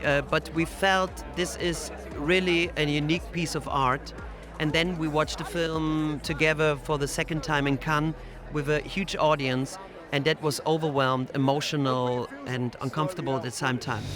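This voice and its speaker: With music in the background, a man speaks in a fairly high pitch and fairly even intonation. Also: moderate pace. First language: not English. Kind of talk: interview.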